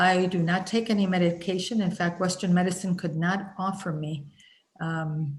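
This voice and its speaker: A woman speaks with fairly even intonation and a somewhat breathy voice, with audible echo from the room. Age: 60s. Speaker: spiritual healing teacher. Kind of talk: group teaching session. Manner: hesitant, many fillers.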